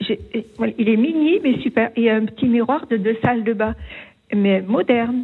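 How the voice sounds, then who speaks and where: A plain, everyday voice from a woman, fairly high in pitch, at a moderate pace with ordinary pitch variation and very even loudness. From southern France, Gard. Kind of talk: telling an anecdote. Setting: phone call.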